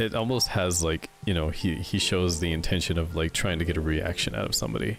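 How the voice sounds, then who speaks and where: A man with a very deep, low pitch talks at a fairly quick pace. There is music in the background. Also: lively intonation. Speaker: vtuber streamer. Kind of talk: casual chat. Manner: halting.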